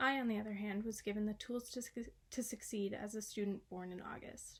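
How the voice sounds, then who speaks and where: Somewhat breathy and fairly high-pitched, a woman with an American accent talks at a fairly quick pace in a monotone, flat intonation. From Massachusetts, US. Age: 20s. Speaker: college student. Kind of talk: reading aloud of a class essay.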